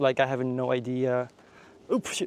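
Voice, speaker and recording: A man's dark, mellow voice at a moderate pace. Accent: Japanese. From Japan. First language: Japanese. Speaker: travel vlogger. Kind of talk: casual vlog narration. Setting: outdoors.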